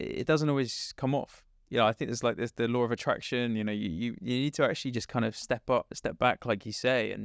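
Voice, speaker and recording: Here a man speaks with an English accent. His pace is fairly quick. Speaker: startup co-founder. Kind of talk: interview. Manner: loud.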